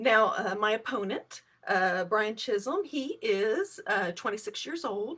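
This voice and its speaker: Her voice has a fairly high pitch, a bright, sharp tone and lively intonation. This woman keeps a fairly slow pace with hardly any pauses. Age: 50s. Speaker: political candidate. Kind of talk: campaign livestream talk. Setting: live stream. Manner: halting, many fillers.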